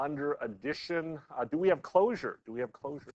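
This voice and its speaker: A man's fairly high voice with lively intonation, dry and free of echo. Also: quiet background. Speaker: math professor. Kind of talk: lecture. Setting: classroom with hybrid online students. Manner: halting, many fillers. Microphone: video call.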